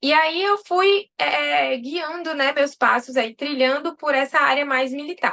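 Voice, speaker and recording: A woman speaks at a moderate pace with a high pitch and ordinary pitch variation. Her tone is bright and sharp, and her voice is raised and projected. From Brazil, interior of Bahia. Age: 30s. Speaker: army dentist and dentistry teacher. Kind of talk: interview.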